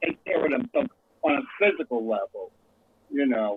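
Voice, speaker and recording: At a moderate pace, a man speaks with a New York accent. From New York, South Bronx. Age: 70s. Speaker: panelist in podcast discussion. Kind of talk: casual group discussion.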